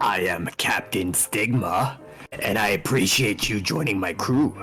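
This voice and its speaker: A man's raspy, put-on character voice, fairly low in pitch and fairly slow, with faint music behind it. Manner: bold, theatrical.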